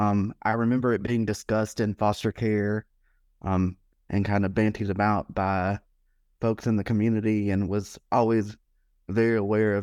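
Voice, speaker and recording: Speaking at a moderate pace with an American accent, a man uses monotone, flat intonation at a fairly low pitch, in a dry, close sound with no echo and a quiet background. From US South, Alabama. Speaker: foundation executive director. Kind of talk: interview conversation.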